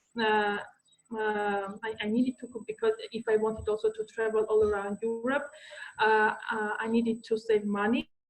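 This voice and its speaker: A woman's fairly high pitch in monotone, flat intonation at a moderate pace, with music in the background. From Armenia. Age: 20s. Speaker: guest speaker. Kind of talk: talk to online audience. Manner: halting.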